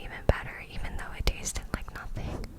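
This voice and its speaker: A woman whispers at a moderate pace. There is noticeable background noise. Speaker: ASMR creator. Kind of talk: ASMR vlog voiceover. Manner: whispered, close to the mic.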